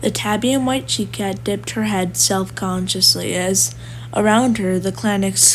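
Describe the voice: Here we get plain reading aloud from the speaker.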